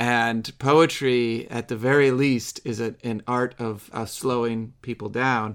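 A man with an American accent, medium pitch, monotone, flat intonation and a very slow pace, on a very clean recording with a silent background. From US Midwest. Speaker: podcast host. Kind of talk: discussion of a poem.

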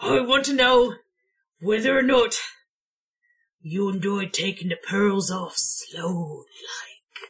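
A raspy, put-on character voice at a fairly high pitch moves at a very slow pace. Long pauses come often. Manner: slow, creepy.

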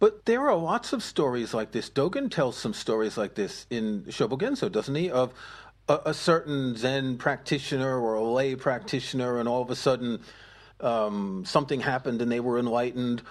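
A plain, everyday voice moves at a moderate pace with ordinary pitch variation. The background is quiet. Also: man, medium pitch for a man. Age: 60s. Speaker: podcast co-host and musician. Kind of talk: casual discussion.

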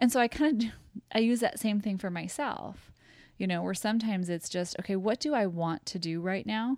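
A woman with a Midwestern US accent speaks at medium pitch with lively intonation in a very clean recording with a silent background. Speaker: podcast co-host. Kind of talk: casual chat.

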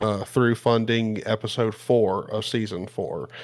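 Very slow and flat in a monotone, the voice comes through a very clean recording with a silent background. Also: man. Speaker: podcast co-host. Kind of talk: casual chat.

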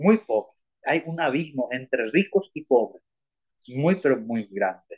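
Recorded with a dry, close sound and no echo, a man speaks at a fairly slow pace with lively intonation. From Paraguay, Asunción. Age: 60s. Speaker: lawyer and former teacher and priest. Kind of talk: interview.

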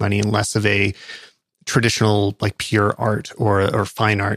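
A man with a Canadian accent uses a plain, everyday voice at fairly low pitch and moderate pace. The sound is dry and close with no echo, and the recording is very clean, with a silent background. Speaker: podcast host, photographer and YouTuber. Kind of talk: casual interview. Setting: studio.

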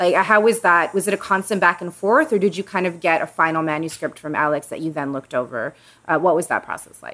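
Talking very fast, a woman with a fairly low pitch and a bright, sharp tone shows ordinary pitch variation and big swings in loudness. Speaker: bookstore podcast host. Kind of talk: interview introducing guests and discussing a book.

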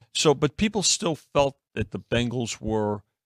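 The recording of this man is very clean with a silent background and a dry, close sound with no echo. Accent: New York. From New York. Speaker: sports betting analyst. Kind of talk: casual sports betting talk. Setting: studio.

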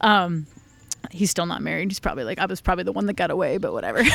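A woman's fairly low voice with vocal fry, in an American accent. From US Northeast, Rhode Island. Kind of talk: interview conversation. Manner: animated.

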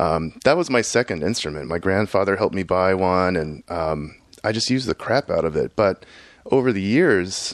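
A man with an unremarkable speaking voice talks at a moderate pace, his fairly low pitch carried by lively intonation. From Houston, Texas. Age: 40s. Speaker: electronic musician and software engineer. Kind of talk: casual interview. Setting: home studio.

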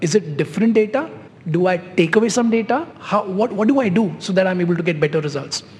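A man speaks with a high pitch and lively intonation. Noticeable background noise runs underneath. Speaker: CEO, panel guest. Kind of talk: panel discussion, live.

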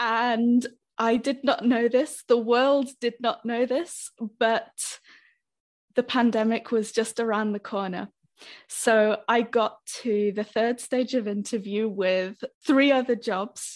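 Against a quiet background, a woman with a British accent speaks at a very slow pace, with a fairly high pitch and fairly even intonation. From Britain. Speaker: language teacher. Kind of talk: podcast interview.

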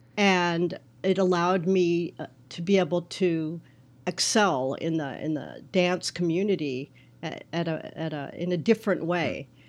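A woman with a plain, everyday voice speaks at a fairly slow pace and a fairly low pitch. Her intonation is fairly even, and the recording is very clean with a silent background. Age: 60s. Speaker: float tank business consultant. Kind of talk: interview.

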